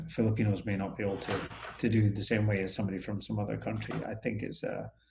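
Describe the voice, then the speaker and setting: There is audible room echo around a man with a fairly low pitch. He talks at a moderate pace. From Scotland. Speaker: business owner. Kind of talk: interview. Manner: hesitant, many fillers.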